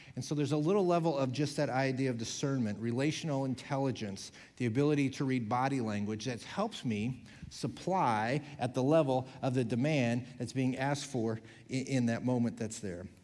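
Speaking at a moderate pace, a man with a plain, everyday voice keeps a medium pitch with ordinary pitch variation. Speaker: pastor. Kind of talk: sermon. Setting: church.

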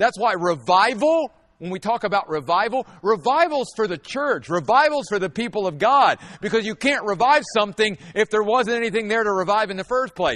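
With lively intonation and a high pitch, a man talks fairly quickly. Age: 50s. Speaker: pastor. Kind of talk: sermon.

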